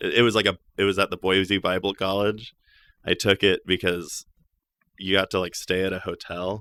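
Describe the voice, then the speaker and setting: On a very clean recording with a silent background and a dry, close sound with no echo, a man with an American accent speaks at a moderate pace with long, frequent pauses, in a fairly low pitch with monotone, flat intonation and a bright, sharp tone. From small town Idaho. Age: 20s. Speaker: stand-up comedian. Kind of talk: podcast interview answer. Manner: casual, rambling.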